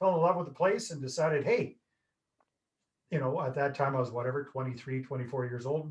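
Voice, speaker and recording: A somewhat breathy voice with ordinary pitch movement. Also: man. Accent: Canadian. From Canada, northern British Columbia. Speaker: real estate investor. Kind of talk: podcast interview. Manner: animated.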